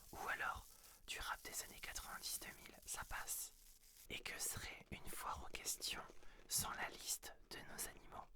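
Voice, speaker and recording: A man's whisper at a fairly slow pace. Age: 30s. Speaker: ASMR creator and medical secretary. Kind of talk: ASMR FAQ, intimate casual talk to camera. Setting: studio, close-mic. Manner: whispered, soft-spoken.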